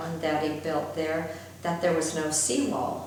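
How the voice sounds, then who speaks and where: A woman with a fairly low voice speaks amid noticeable background noise and audible room echo. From Southern California (Balboa Island). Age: 70s. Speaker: oral history interviewee. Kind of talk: oral history interview. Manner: halting.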